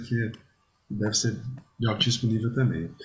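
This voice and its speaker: A man speaks at a moderate pace in a somewhat breathy voice. His pitch is medium with ordinary variation. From Brazil, Espírito Santo (Vitória). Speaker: podcast host, musician. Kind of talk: casual interview chat. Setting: remote call Brazil-Portugal.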